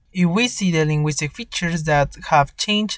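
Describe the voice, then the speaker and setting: The speaker has a Spanish accent and a moderate pace. The recording is very clean, with a silent background. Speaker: podcast host practicing English. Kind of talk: scripted narration.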